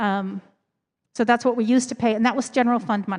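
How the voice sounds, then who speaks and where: A woman speaks at a very fast pace with fairly even intonation against a quiet background. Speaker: church committee member presenting finances. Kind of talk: Q&A presentation at a congregational meeting. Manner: casual, filler-heavy.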